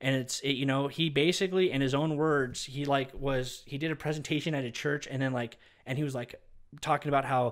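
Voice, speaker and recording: On a very clean recording with a silent background, a man speaks at a fairly quick pace with a fairly high pitch. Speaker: evangelist ministry host. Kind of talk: preaching commentary. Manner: fast; animated.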